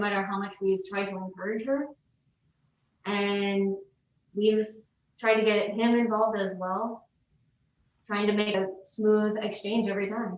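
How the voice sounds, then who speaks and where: A woman with an American accent at a fairly high pitch and a fairly slow pace, with audible room echo and light background noise. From US Midwest. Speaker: mother in custody case. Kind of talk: testimony. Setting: video call. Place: empty room.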